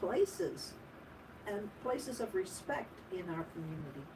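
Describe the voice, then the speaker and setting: A woman talks at a fairly slow pace with lively intonation. Noticeable background noise sits behind her. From Ottawa, Canada. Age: 60s. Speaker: radio co-host. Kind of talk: casual chat. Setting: radio studio.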